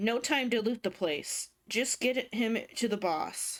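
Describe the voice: A woman puts on a character voice, raspy and fairly high-pitched. She talks at a fairly slow pace.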